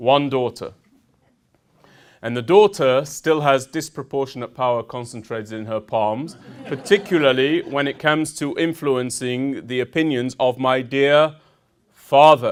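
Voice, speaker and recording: A man with a British accent, at a fairly slow pace, with ordinary pitch variation. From United Kingdom. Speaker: army veteran, speaker. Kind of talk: public talk. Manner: formal.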